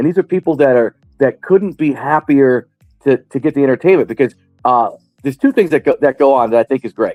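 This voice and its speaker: Over background music, a man talks at a very fast pace in an animated tone, his fairly high voice showing ordinary pitch variation, the sound dry and close with no echo. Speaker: stand-up comedian. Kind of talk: interview.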